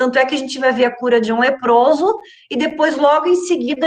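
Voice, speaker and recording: The speaker is a woman with a high pitch. Her pitch moves with ordinary variation. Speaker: Bible study teacher. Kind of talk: Bible study lesson.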